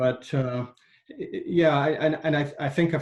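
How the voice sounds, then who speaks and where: A man with a Scottish accent, somewhat breathy, at a moderate pace with fairly even intonation. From Scotland, industrial central belt. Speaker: engineer and climate nonprofit director. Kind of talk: interview conversation. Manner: halting, many repetitions.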